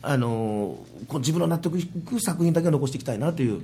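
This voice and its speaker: Over background music and audible room echo, a man talks at a very fast pace with very wide pitch swings. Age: 40s. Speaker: motivational speaker. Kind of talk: casual chat.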